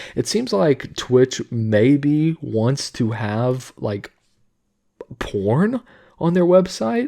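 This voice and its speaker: Quiet and dark, with a mellow tone, a man's voice moves through ordinary pitch variation. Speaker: YouTube commentator. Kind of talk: casual commentary. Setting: home recording at midnight. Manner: quiet, subdued; casual, filler-heavy.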